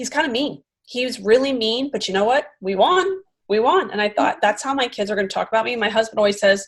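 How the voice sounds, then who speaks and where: Very fast speech in a Philadelphia accent with lively intonation. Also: woman, fairly high pitch for a woman. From US Northeast, Philadelphia suburbs. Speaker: podcast host and comedian. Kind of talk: casual interview chat.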